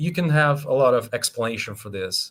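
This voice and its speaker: A man speaks with a Brazilian Portuguese accent at a fairly high pitch. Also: very clean recording, silent background. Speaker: scientist. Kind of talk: lecture. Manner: halting.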